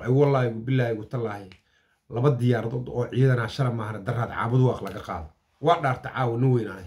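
The voice is somewhat breathy and moves at a fairly quick pace, with big swings in loudness and ordinary pitch variation. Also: man, medium pitch for a man. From Somalia. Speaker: political commentator. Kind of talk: political commentary. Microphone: phone near.

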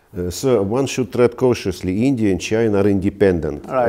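Dark, mellow tone with a Russian accent, ordinary pitch variation, a fairly quick pace and a quiet background. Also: man. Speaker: ambassador; interviewee. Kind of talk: interview. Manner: halting. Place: home room. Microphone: lapel.

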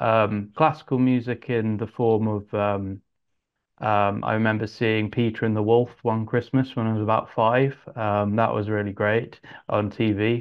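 A man speaks with an English accent at a fairly slow pace, his pitch fairly low. His intonation is flat and monotone against a quiet background. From England (Yorkshire, then Suffolk); England. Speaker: composer and arranger; interviewee. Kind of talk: interview. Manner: halting, many fillers. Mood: relaxed, friendly. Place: home room. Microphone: earbuds.

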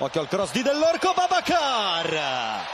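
An animated man speaks at an extremely high pitch. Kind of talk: football match commentary. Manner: fast, animated play-by-play delivery; excitable, rising in intensity at chances and incidents.

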